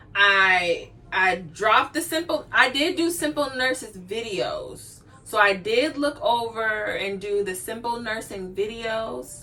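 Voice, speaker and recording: Against noticeable background noise, a woman with a fairly high pitch speaks at a very slow pace with lively intonation. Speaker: nursing graduate vlogger. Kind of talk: casual vlog talk.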